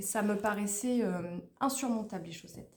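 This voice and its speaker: A woman's dark, mellow tone at a fairly high pitch. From Haute-Normandie, France. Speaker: knitting vlogger. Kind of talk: casual vlog monologue. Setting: at home, at a table. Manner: loud; fast.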